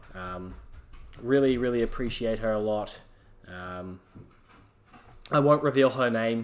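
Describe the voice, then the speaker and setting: An Australian-accented man talks at a moderate pace with fairly even intonation. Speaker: solo podcast host. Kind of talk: casual monologue. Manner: halting, many fillers.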